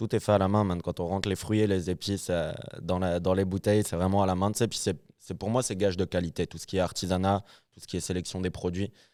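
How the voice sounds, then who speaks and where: A man with a very deep, low pitch and a dark, mellow tone talks at a very fast pace in a monotone, flat intonation. His loudness swings widely in a very clean recording with a silent background. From northern France, Lille. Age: 20s. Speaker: rum producer. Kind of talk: casual interview. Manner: hesitant, many fillers.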